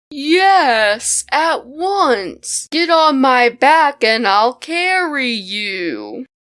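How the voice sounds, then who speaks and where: A put-on character voice that sounds female, high in pitch, delivered at a very slow pace. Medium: read story. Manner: flattering, persuasive.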